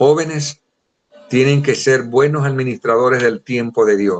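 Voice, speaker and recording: Moderate pace and ordinary pitch variation in a man's fairly high voice. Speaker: Bible teacher. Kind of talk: lecture.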